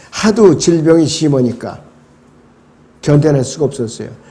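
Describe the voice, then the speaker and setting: A man's dark, mellow tone, fairly high in pitch, with audible room echo. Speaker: pastor. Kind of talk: bible study lecture.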